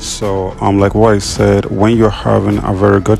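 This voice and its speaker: A man talks at a moderate pace in a fairly low pitch with flat, monotone intonation over noticeable background noise. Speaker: trading strategy tutor. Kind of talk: tutorial. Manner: hesitant, many fillers.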